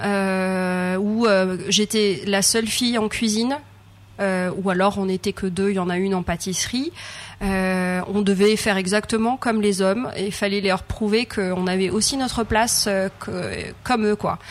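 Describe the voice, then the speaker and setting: A medium-pitched woman's voice at a fairly slow pace with fairly even intonation. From Madagascar. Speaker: chef and cooking trainer. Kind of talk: interview. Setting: on a ship. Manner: hesitant, many fillers.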